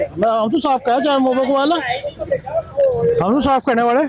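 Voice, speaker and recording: An extremely high male voice with ordinary pitch variation over noticeable background noise. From western Uttar Pradesh, India (village near Deoband). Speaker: villager. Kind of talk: street interview.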